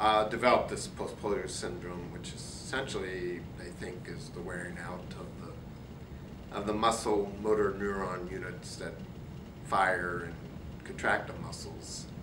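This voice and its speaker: A man speaks in a fairly low voice with ordinary pitch variation and big swings in loudness. Audible room echo and noticeable background noise fill the recording. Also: fairly slow pace. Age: 60s. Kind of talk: interview.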